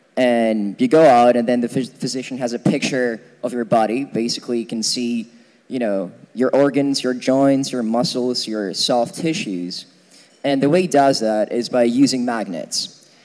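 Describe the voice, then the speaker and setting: Speaking at a moderate pace, a man has an ordinary speaking voice with medium pitch and ordinary pitch variation. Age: 20s. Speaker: physics student lecturer. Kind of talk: lecture. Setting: lecture hall with audience, using a mic. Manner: casual, many fillers.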